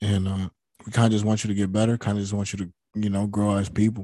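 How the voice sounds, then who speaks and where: A man talks at a very fast pace in a fairly low pitch with a dark, mellow tone and flat, monotone intonation. The recording is very clean with a silent background and a dry, close sound with no echo. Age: 20s. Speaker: podcast co-host. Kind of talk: casual chat.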